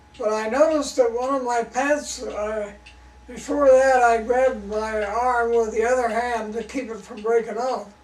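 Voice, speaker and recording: Amid noticeable background noise and audible room echo, a man speaks at an extremely high pitch in a flat monotone. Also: big swings in loudness. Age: 80s+. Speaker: farmer. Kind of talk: storytelling.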